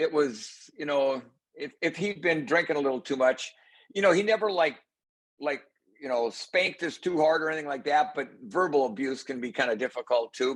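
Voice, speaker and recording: A man with an Upper Midwest accent speaks at a moderate pace. His pitch is fairly high and his intonation lively. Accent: Upper Midwest American. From Minnesota, US. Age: 60s. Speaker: fishing guide and motivational speaker. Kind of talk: interview. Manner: halting, many fillers.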